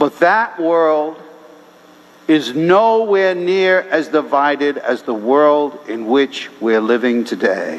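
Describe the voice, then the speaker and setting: Through noticeable background noise, a man speaks at a fairly high pitch. He goes very slowly, with lively intonation. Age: 70s. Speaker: priest. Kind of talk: sermon. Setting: church.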